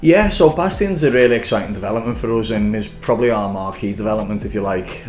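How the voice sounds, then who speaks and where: Over noticeable background noise and audible room echo, a man speaks with a fairly low pitch. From Liverpool, England. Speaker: property developer. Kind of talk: business interview. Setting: office. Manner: hesitant, many fillers.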